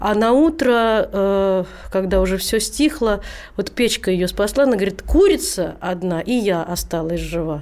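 A woman speaks at a medium pitch with lively intonation and a fairly slow pace. Hers is an unremarkable speaking voice. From Rzhev, Russia. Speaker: singer. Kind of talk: casual chat. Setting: studio.

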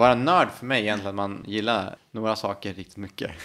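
A man's fairly low voice, bright and sharp in tone, at a fairly quick pace with fairly even intonation. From Sweden, Härnösand, Ångermanland. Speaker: city planner and spinal cord injury survivor. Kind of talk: interview conversation.

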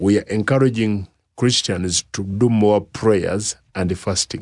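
With a Ugandan accent, a man of fairly low pitch speaks in a dry, close sound with no echo. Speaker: pastor and bishop. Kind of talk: radio interview. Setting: studio.

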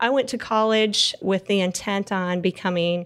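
A woman talks in a Texas accent at a medium pitch. The recording is very clean, with a silent background. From Texas Panhandle. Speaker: energy consultant. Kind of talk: interview.

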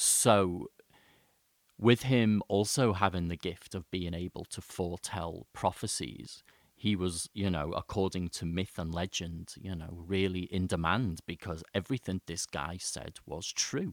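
A very deep, low-pitched man at a fairly slow pace with ordinary pitch variation, in a very clean recording with a silent background and dry, close sound with no echo. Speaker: podcast host, eco-therapist. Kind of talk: solo podcast monologue. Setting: home studio with microphone. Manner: informal, rambling, hesitant with fillers.

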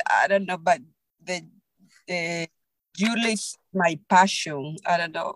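Fairly low-pitched woman's voice with a Spanish accent, ordinary pitch variation, and a dry, close sound with no echo. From Peru. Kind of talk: interview. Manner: halting.

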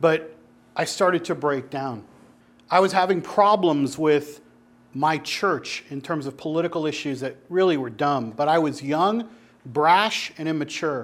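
This man has a fairly high pitch and an ordinary speaking voice. He talks at a fairly slow pace with ordinary pitch variation. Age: 30s. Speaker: pastor or church group teacher. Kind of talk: sermon-style teaching talk to a group.

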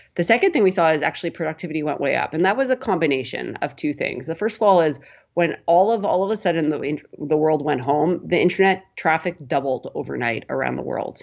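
A woman with a western Canadian accent, very deep and low pitch, lively intonation, fairly quick pace and hardly any pauses. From Canada, Prince Albert, Saskatchewan. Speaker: tech company co-founder. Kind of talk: interview.

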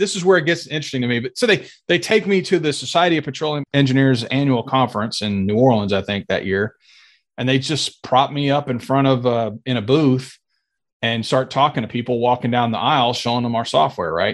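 In an American accent, a man with a normal speaking voice talks at a fairly quick pace, medium in pitch with lively intonation, against a quiet background. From US, Air Force family moving around; Arkansas roots. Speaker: sales executive in oil and gas software. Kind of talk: casual interview chat. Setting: video call.

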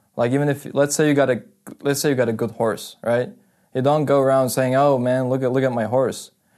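A man at medium pitch, fairly quick, monotone and flat, with very even loudness over a quiet background. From Russia, Karachay-Cherkessia village. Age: 20s. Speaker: university student. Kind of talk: casual chat.

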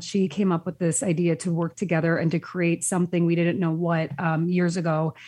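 Speaking at a moderate pace, a woman has a plain, everyday voice with a fairly low pitch. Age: 40s. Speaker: lifestyle blogger. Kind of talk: casual chat.

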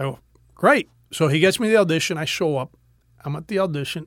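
Recorded very cleanly against a silent background, a man with a fairly high pitch speaks in a dry, close sound with no echo. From Miami, Florida (Cuban-American family). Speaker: actor. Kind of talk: casual interview chat. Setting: studio.

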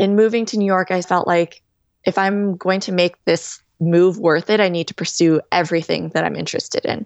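With an American accent, a woman talks at a fairly quick pace in a medium pitch, her intonation fairly even. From California. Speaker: DJ and music producer. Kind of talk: interview.

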